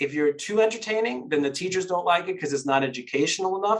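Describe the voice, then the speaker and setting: Ordinary pitch variation marks the speech of a man in an American accent. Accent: New York Queens accent, partial. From New York, Queens. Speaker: children's author and illustrator. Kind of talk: interview conversation.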